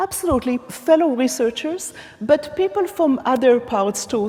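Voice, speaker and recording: This woman's high voice makes very wide pitch swings. Noticeable background noise runs underneath. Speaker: academic keynote speaker. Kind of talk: conference keynote lecture. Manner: deliberately slow, trying not to speak fast.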